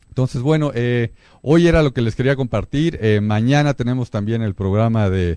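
A man's dark, mellow tone comes through at a moderate pace. His pitch varies in an ordinary way. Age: 40s. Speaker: radio host. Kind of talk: casual chat. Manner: halting, many filler words and repetitions.

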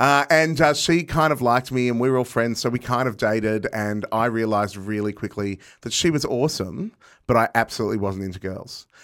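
A man with an Australian accent, medium pitch, ordinary pitch variation and a fairly quick pace, on a very clean recording with a silent background. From Melbourne, Australia. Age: 40s. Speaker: comedian and cabaret performer. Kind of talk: casual chat.

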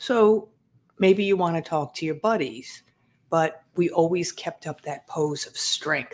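Here a woman talks at a fairly slow pace. The recording is very clean, with a silent background. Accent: New York. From Long Island, New York. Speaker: former medical examiner investigator and author. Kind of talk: interview.

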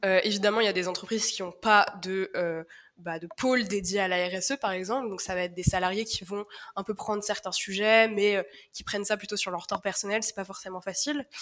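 A woman's medium-pitched voice, fairly quick in pace, with fairly even intonation. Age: 20s. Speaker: communications manager at a social startup. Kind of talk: podcast interview. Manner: halting, many fillers.

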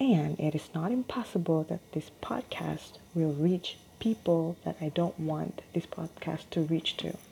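A woman with a non-native accent talks at a fairly slow pace. Her pitch is fairly low, with ordinary pitch variation. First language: not English. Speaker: solo podcaster. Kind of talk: casual monologue. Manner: hesitant, many fillers.

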